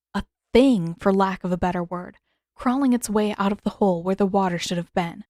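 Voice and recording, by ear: With ordinary pitch variation and a quiet background, a natural voice reads aloud.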